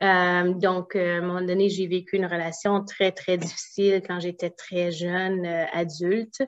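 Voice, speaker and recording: This woman has an unremarkable speaking voice at a medium pitch. She talks at a fairly slow pace. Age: 40s. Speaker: naturopath and entrepreneur. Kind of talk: interview.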